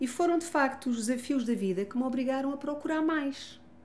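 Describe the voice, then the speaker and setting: A woman with a European Portuguese accent speaks at a moderate pace, with audible room echo. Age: 60s. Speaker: family constellation therapist and author. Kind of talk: interview testimony. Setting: gym.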